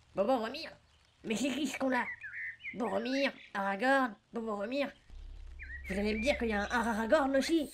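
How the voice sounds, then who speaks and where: Delivered at a moderate pace, a put-on character voice comes with long, frequent pauses. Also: female-sounding voice, high pitch for a woman. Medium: audio drama.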